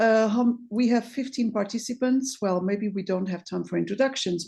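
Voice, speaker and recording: A woman speaks at a fairly quick pace with a Portuguese accent and medium pitch. Her tone is dark, mellow and somewhat breathy, and the background is quiet. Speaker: sociology researcher. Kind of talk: academic presentation. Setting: video call. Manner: halting.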